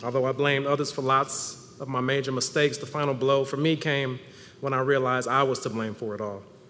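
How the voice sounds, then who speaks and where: Very fast speech comes in an American accent with monotone, flat intonation. There is noticeable background noise. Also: man, medium pitch for a man. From US Midwest. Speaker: church member. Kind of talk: testimony. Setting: church service with congregation. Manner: laid back.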